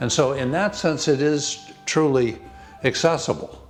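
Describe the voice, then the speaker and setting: A man talks with an American accent. Music plays in the background. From Cape Cod, Massachusetts. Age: 80s+. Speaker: nonprofit trust president. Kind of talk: interview. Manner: halting.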